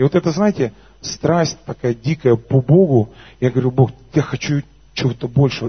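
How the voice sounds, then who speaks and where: At a moderate pace, a man speaks with a somewhat breathy voice and lively intonation. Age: 30s. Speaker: worship leader and preacher. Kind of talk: sermon with personal testimony. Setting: church service with congregation. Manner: animated.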